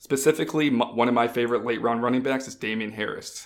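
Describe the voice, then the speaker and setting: An ordinary speaking voice, its intonation fairly even throughout. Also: man. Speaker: fantasy football analyst. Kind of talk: casual chat.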